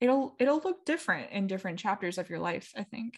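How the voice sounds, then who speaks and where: A woman speaks with a General American accent over a quiet background. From United States. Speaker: podcast host. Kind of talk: solo podcast monologue, improvised casual chat. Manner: calm, casual.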